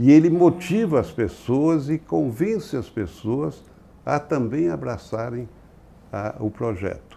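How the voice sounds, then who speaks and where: A man talks very slowly in a dark, mellow tone with vocal fry. His pitch swings very widely. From Brazil, São Paulo. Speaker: business executive and board member. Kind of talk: interview conversation.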